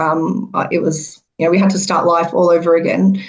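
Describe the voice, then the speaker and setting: The speech has a strong Australian accent and monotone, flat intonation. It moves at a moderate pace with audible room echo. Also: woman. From Melbourne, Australia (came from Iran at age two). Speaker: podcast panel guest. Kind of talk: podcast discussion.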